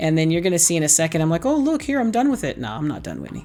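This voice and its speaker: Pitched very deep and low, a woman talks with an American accent. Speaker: craft YouTuber. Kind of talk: casual tutorial. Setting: home craft room. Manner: animated.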